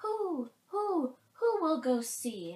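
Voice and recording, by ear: A woman does a put-on character voice at a high pitch with big pitch swings. She goes at a very slow pace with a slightly mellow tone.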